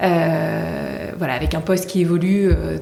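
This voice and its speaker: Audible room echo and noticeable background noise surround a woman speaking with a fairly low pitch. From Paris region, France. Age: 30s. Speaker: brand co-founder. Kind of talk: podcast interview. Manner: hesitant, many fillers.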